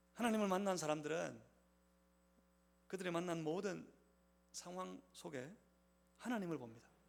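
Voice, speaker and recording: A man with a high pitch speaks at a moderate pace, with ordinary pitch variation. Long, frequent pauses and audible room echo mark the clip. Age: 50s. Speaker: pastor. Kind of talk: sermon. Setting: church.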